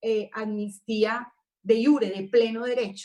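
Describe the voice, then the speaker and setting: A woman speaks with an unremarkable speaking voice. Her pitch sits fairly high. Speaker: panel moderator. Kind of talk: panel discussion.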